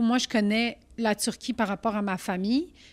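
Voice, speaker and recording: Fairly slow speech in a Quebec accent. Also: woman. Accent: Québécois French. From Quebec, Saint-Jean-sur-Richelieu, Turkish family. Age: 30s. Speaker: comedian. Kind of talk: casual chat. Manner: loud; animated.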